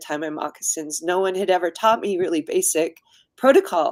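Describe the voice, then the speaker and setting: A woman is speaking. She has a US Midwestern accent. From US Midwest, Indiana. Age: 60s. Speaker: designer and community activist. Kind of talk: interview.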